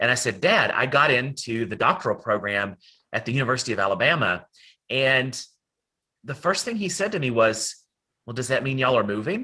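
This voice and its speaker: A man in an Appalachian accent talks at a fairly quick pace with a bright, sharp tone, breaking for long, frequent pauses. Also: medium pitch for a man, lively intonation. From Western North Carolina, Appalachia. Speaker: academic presenter. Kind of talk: lecture.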